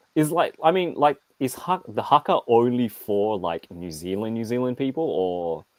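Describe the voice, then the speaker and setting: A man with an Australian accent talks with hardly any pauses. His pitch swings very widely in a dry, close sound with no echo. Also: medium pitch for a man, moderate pace. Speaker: action figure reviewer. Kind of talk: casual live stream chat. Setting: live stream.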